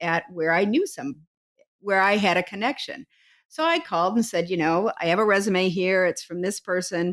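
Using an ordinary speaking voice, a woman talks at a fairly quick pace and medium pitch with ordinary pitch variation, recorded very cleanly against a silent background. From rural Ohio. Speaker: leadership consultant and professor. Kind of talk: interview.

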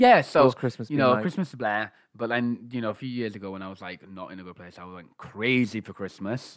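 A man with an unremarkable speaking voice at medium pitch talks with hardly any pauses and big swings in loudness, on a very clean recording with a silent background. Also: ordinary pitch variation, moderate pace. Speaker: podcast co-host; former teacher.

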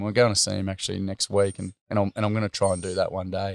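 On a very clean recording with a silent background, a man speaks with an Australian accent. His fairly low voice is monotone and flat, in a dry, close sound with no echo. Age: 30s. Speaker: school teacher and workshop facilitator. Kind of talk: interview storytelling. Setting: at his family home.

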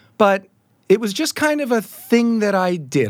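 A man with an American accent talks at a moderate pace with lively intonation. Music plays in the background. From Southeast Asia and US. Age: 50s. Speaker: songwriter and music producer. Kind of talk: interview conversation.

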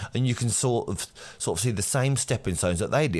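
A man with an English accent talks with lively intonation. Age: 40s. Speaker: electrician and podcast host. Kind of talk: solo podcast monologue.

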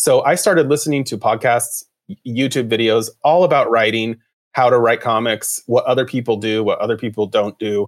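A man with an American accent at a medium pitch, moderate pace, and ordinary pitch variation. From Boise, Idaho, US, with teen years in Mexico. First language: bilingual English and Spanish. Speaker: comic book writer and artist. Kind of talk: casual interview chat. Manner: animated.

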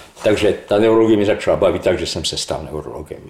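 A man speaks in a fairly low voice. Noticeable background noise is present. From Slovakia, Levoča. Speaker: neurologist professor. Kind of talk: interview.

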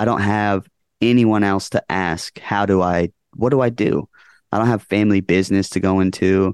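A man with an American accent talks in an ordinary speaking voice, fairly low in pitch, at a fairly quick pace with fairly even intonation, recorded in a dry, close sound with no echo against a quiet background. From Las Vegas area, Nevada. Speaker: rock band vocalist. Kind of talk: casual interview chat. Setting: video call.

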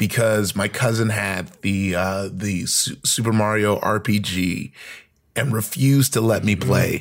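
A man with an American accent and a fairly low pitch talks in an ordinary speaking voice at a fairly slow pace, with ordinary pitch variation, on a very clean recording with a silent background. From US. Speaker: comedian and actor. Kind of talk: casual chat.

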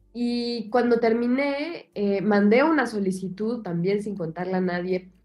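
With a normal speaking voice, a woman talks at a fairly slow pace in a medium pitch with ordinary pitch variation. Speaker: writer and translator. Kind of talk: interview.

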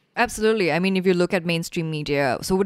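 The speech comes at a very fast pace. The recording is very clean, with a silent background. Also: woman. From Singapore. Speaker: activist, nonprofit director. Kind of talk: casual interview chat. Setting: recorded in Singapore.

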